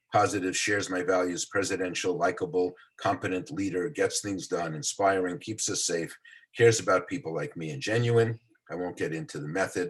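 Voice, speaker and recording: Somewhat breathy, a man speaks with an American accent and very wide pitch swings. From New York City, the Bronx. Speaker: psychology professor. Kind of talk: lecture. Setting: video call. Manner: fast.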